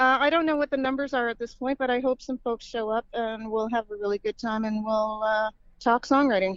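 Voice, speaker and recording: This is a woman with a fairly high pitch and an ordinary speaking voice. She talks at a fairly quick pace with hardly any pauses, fairly even intonation, and a dry, close sound with no echo. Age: 60s. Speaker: singer-songwriter. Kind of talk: casual chat.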